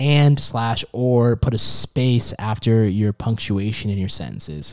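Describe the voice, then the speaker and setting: In a very clean recording with a silent background and a dry, close sound with no echo, a man uses a plain, everyday voice at a medium pitch, with ordinary pitch variation and a fairly slow pace. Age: 20s. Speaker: sports podcast co-host. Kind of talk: casual chat.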